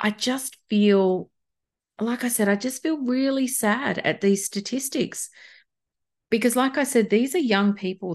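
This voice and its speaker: In an Australian accent, a woman talks at a fairly slow pace. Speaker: podcast host and beauty workshop facilitator. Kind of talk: solo podcast monologue. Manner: informal, conversational.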